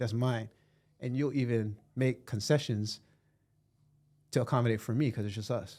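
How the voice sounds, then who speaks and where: On a very clean recording with a silent background, a man with a dark, mellow tone speaks at medium pitch and a moderate pace with fairly even intonation and long, frequent pauses. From Hawaii. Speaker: podcast host. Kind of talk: casual conversation.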